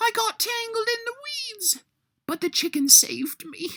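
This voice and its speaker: A squeaky, extremely high put-on character voice at a moderate pace. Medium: read story.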